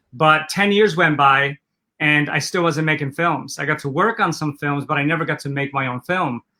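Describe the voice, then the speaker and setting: A man with a Polish accent speaks in a bright, sharp tone. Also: fairly high pitch for a man, ordinary pitch variation, moderate pace. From Poland, moved to Los Angeles at 11. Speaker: entrepreneur, former film maker. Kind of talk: interview.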